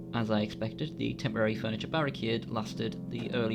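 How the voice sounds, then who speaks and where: A man's fairly low-pitched voice at a fairly quick pace, with music in the background. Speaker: gaming commentator. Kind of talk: humorous gameplay narration.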